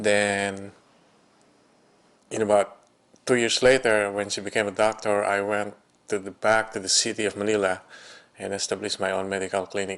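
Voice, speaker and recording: A man's fairly low, monotone voice with flat intonation, long and frequent pauses, and a quiet background. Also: moderate pace. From Philippines. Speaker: physician. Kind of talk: testimony.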